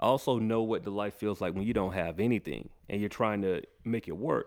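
On a very clean recording with a silent background, a man speaks at a moderate pace. His pitch is medium. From Georgia, Macon. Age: 30s. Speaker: podcast host, music artist. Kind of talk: casual interview chat; show intro monologue.

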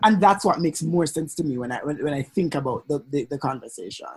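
At a fairly quick pace, a man talks with a somewhat breathy quality. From Jamaica. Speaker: podcast co-host and lawyer. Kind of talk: casual chat.

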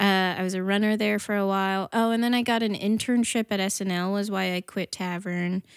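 At a fairly quick pace with hardly any pauses, a woman of medium pitch speaks in a monotone, flat way on a very clean, dry, close recording with a silent background and no echo. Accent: American. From northern New Jersey. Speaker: comedian and actress. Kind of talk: casual chat.

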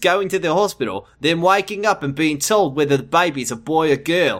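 At a moderate pace, a man speaks in an animated tone. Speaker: podcast co-host. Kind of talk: casual comedic banter, reading fiction aloud. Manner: animated, jokey, does character voices.

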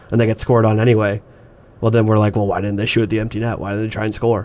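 A man's medium-pitched voice with a Canadian accent and monotone, flat intonation. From Canada. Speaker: sports podcast co-host. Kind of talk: casual chat.

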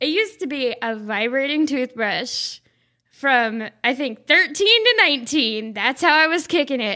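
A woman's high-pitched, raised and projected voice with a bright, sharp tone, very wide pitch swings and a fairly slow pace, with an American accent, on a very clean recording with a silent background. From US South. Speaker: podcast guest. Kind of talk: casual chat.

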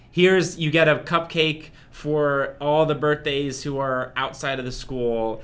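An ordinary speaking voice from a man with an American accent, fairly high in pitch, fairly slow, fairly even in intonation, with hardly any pauses. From US Northeast, New Jersey. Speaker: podcast co-host. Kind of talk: casual chat; scripted intro.

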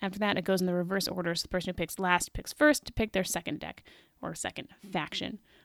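Talking at a very fast pace with ordinary pitch variation and big swings in loudness, a woman is heard in a very clean recording with a silent background and a dry, close sound with no echo. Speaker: board game podcaster. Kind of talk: casual podcast monologue reviewing a board game. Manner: fast talker.

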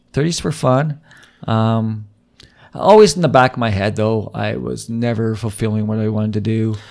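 A man's normal speaking voice at a medium pitch, moderate in pace, with ordinary pitch variation. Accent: Canadian. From Canada, Vancouver. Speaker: improviser. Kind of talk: casual interview.

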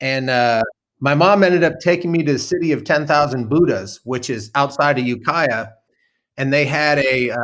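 A man with an American accent has a normal speaking voice and a fairly high pitch. He talks at a moderate pace with lively intonation. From Northern California, Mendocino. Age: 50s. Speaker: storyteller. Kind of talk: casual chat.

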